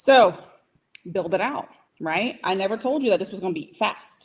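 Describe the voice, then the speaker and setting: A woman talks at a moderate pace in an animated tone, her medium pitch showing ordinary variation. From US, Puerto Rican family, northern and Indiana roots. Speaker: AI and productivity trainer for small businesses. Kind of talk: online training session. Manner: businesslike.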